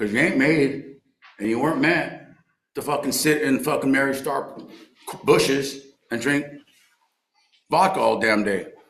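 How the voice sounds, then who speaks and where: With long, frequent pauses, a man talks at a moderate pace and a fairly high pitch, with ordinary pitch variation and audible room echo. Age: 60s. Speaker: recovery speaker and baseball coach. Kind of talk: recovery meeting share. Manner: animated.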